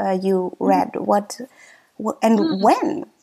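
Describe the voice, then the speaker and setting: A woman is speaking. She has a German accent. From Germany. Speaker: podcast host. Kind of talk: interview.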